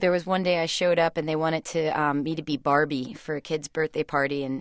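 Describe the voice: A woman talks at a fairly quick pace with an American accent. Her voice is gruff and low-pitched, with little pitch movement. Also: very clean recording, silent background.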